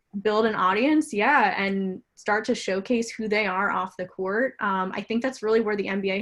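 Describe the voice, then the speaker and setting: Medium-pitched woman's voice, fairly even in intonation, at a moderate pace over a quiet background. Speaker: sports tech marketing manager. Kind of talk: panel webinar discussion.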